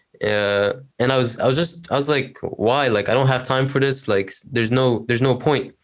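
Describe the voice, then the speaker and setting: A man with an Arabic accent at a medium pitch and moderate pace, with fairly even intonation. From Egypt. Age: 19. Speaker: university student, LinkedIn creator. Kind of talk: interview conversation.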